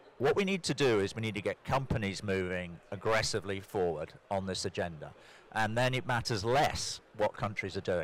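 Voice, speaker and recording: A man with a British accent, fairly low in pitch, with ordinary pitch variation and a moderate pace, on a very clean recording with a silent background. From Britain. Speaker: corporate sustainability executive. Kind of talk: panel discussion. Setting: conference stage with audience.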